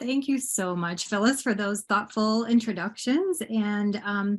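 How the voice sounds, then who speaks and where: A somewhat breathy woman's voice at a medium pitch and a moderate pace, with fairly even intonation. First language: Bangla. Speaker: poet. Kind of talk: poetry reading. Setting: video call. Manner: halting.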